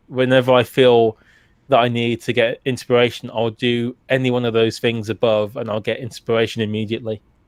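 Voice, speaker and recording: A man's medium-pitched voice with a British accent, flat monotone intonation, and a moderate pace. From UK. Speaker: retro gaming YouTuber. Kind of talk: casual interview chat.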